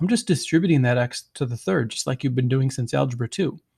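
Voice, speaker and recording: The voice is somewhat breathy, with lively intonation. The sound is dry and close, without echo. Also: man. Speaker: math teacher. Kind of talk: recorded video lecture.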